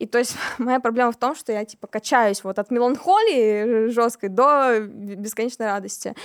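A woman with an ordinary speaking voice talks at a moderate pace and a fairly high pitch, with ordinary pitch variation and a dry, close sound with no echo. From Siberia, Kemerovo. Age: 20s. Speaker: singer-songwriter. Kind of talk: casual interview.

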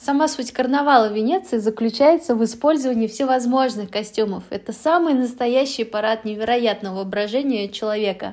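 A woman talks at a moderate pace. She has an unremarkable speaking voice. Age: 30s. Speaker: podcast host. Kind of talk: solo podcast narration.

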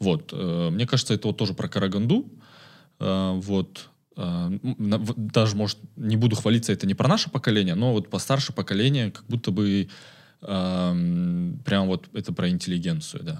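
In a plain, everyday voice, a man with a fairly low pitch talks at a moderate pace with lively intonation on a very clean recording with a silent background. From Kazakhstan, Karaganda. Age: 20s. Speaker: community manager. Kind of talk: casual chat.

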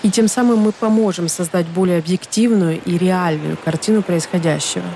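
Over noticeable background noise, a woman speaks at a moderate pace in a medium pitch with ordinary pitch variation. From Ukraine, Donetsk. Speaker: podcast host. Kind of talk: scripted narration.

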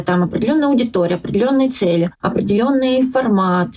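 Somewhat breathy and fairly high-pitched, a woman's voice moves with ordinary pitch variation. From Russia, Yelets and Voronezh. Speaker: journalist and blogger. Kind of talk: casual interview chat.

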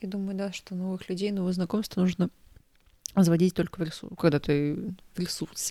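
A woman's ordinary speaking voice at a medium pitch and moderate pace, with fairly even intonation and a dry, close sound with no echo. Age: 20s. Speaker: podcast co-host. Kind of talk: casual chat.

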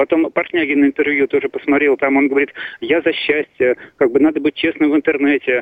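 A man's fairly high voice, monotone and flat, at very even loudness. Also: fairly quick pace. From Russia, Saint Petersburg. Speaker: caller. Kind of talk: phone-in call. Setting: phone call. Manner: halting.

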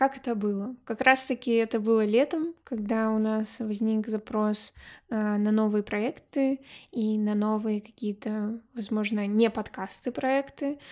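A normal speaking voice at a fairly slow pace with fairly even intonation, in a very clean recording with a silent background. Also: woman, fairly high pitch for a woman. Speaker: podcast co-host, graduate student. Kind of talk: casual chat.

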